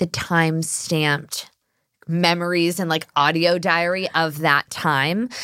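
A woman with an American accent speaks at a fairly slow pace in a bright, sharp tone, the recording very clean with a silent background and a dry, close sound with no echo. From US, Los Angeles San Fernando Valley. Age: 30s. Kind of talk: casual chat.

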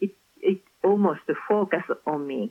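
A woman speaks with a Japanese accent. Her pitch shows ordinary variation. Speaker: author. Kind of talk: interview. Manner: halting.

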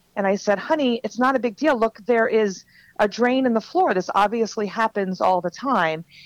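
A plain, everyday voice speaks at a moderate pace with ordinary pitch variation. The sound is dry and close, with no echo. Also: woman, fairly high pitch for a woman. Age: 40s. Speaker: author and transformational coach. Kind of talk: podcast interview, personal testimony.

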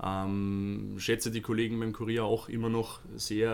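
His intonation stays flat and monotone. The man's voice sits fairly low in pitch. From Lower Austria. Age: 30s. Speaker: social media agency manager for athletes. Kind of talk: podcast interview.

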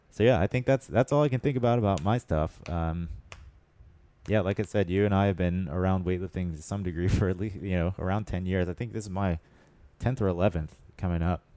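A man's very deep, low voice with an American accent and a dark, mellow tone, fairly quick in pace with ordinary pitch variation, recorded dry and close with no echo. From Pensacola, Florida. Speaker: weightlifting coach and podcast host. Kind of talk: casual chat.

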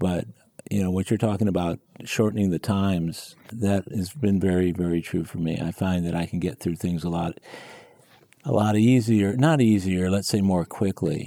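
The tone is dark and mellow, delivered at a moderate pace with ordinary pitch variation. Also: man, very deep, low pitch for a man. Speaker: podcast host. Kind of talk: casual interview.

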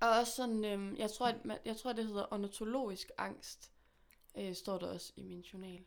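In a plain, everyday voice, a woman talks at a fairly high pitch and a moderate pace with fairly even intonation. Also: big swings in loudness. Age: 20s. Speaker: musician. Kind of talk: casual chat. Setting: studio.

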